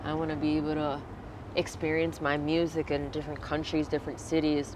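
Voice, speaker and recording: Over noticeable background noise, a woman with an American accent speaks at a fairly quick pace in a very deep, low, flat monotone. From Virginia, US. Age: 20s. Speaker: singer. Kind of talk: interview.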